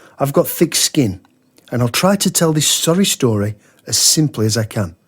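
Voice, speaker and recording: Somewhat breathy, a man's voice swings very widely in pitch, with a dry, close sound, no echo, and a very clean recording over a silent background. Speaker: horror story narrator. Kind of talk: horror story narration.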